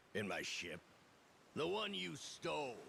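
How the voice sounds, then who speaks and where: Over clear background noise, a man uses a raspy, put-on character voice at a medium pitch, swinging very widely in pitch at a fairly slow pace. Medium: video game.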